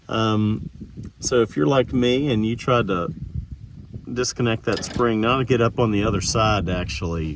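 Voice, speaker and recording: A man speaks at a fairly low pitch and a moderate pace, with ordinary pitch variation. Noticeable background noise is present. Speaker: DIY repair video maker. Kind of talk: tutorial. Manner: halting, stammering.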